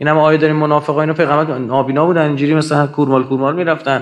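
A man speaks at a very fast pace. Behind him, the background is quiet. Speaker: lecturer at religious gathering. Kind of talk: lecture. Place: hall. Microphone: studio mic.

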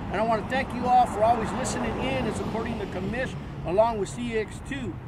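Loud background noise runs throughout. Over it, a man is talking. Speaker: radio host promoting an event. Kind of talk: promotional announcement. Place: street. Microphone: phone near.

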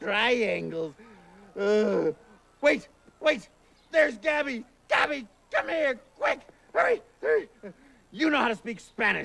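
The voice is raised and projected, with lively intonation. Delivery is fairly slow, broken by long, frequent pauses. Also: man, extremely high pitch for a man. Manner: exasperated, bossy.

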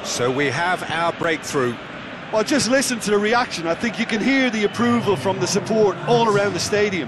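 An excited man, high-pitched for a man, with lively intonation and very even loudness over noticeable background noise. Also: moderate pace. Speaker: co-commentator, analyst. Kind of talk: live football commentary. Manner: excited, exclamatory on goals; measured, analytical.

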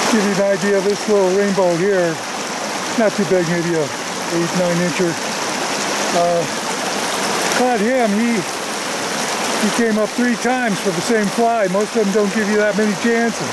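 Speech comes at a moderate pace with long, frequent pauses. The sound is dry with no echo, over loud background noise. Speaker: fly fishing guide. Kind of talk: casual outdoor commentary. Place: waterside.

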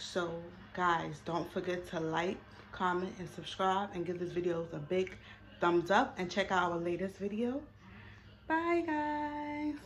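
A woman with lively intonation speaks at a fairly slow pace over light background noise. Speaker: vlogger. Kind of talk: casual vlog chat. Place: home room. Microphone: phone near.

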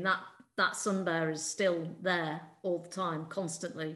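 Speaking at a fairly slow pace, a woman keeps a monotone, flat intonation at a fairly low pitch. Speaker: PhD student, co-host. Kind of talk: interview, conversational. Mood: reflective, concerned. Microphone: video call.

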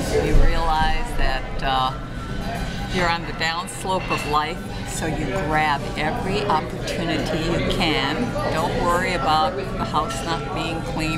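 Loud music plays in the background as the voice moves at a fairly slow pace. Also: woman. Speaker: vlogger. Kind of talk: casual talk to camera. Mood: cheerful, content, reflective. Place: cafe. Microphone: phone near.

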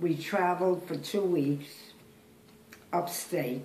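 A woman with an American accent speaks at a very slow pace, her pitch varying in an ordinary way. The room echo is audible, and there is light background noise. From Brooklyn, New York. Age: 80s+. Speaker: great-grandmother. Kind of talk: interview answer. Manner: hesitant, halting. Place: kitchen. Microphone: phone near.

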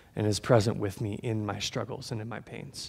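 A man talking at a moderate pace. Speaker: preacher. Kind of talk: sermon. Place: church.

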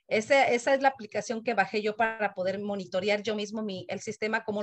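This is an ordinary speaking voice from a woman, fairly high in pitch with ordinary variation. She goes at a fairly quick pace against a quiet background. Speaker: community committee member. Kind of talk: meeting comment. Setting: video call. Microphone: video call.

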